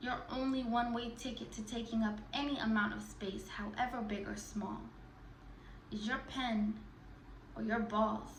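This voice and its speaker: A woman at a moderate pace, fairly high in pitch, with monotone, flat intonation over noticeable background noise. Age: 20s. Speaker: spoken word artist. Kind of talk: performance poetry.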